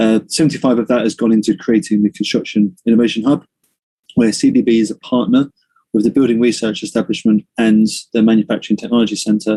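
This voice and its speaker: A man talks at a very fast pace and medium pitch. His intonation is fairly even, and the sound is dry and close with no echo. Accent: British. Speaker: construction industry director. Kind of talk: presentation.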